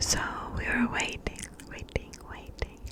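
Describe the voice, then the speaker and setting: A woman whispers in a breathy voice. There is noticeable background noise. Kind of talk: ASMR whispering. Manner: breathy, whispered, slow.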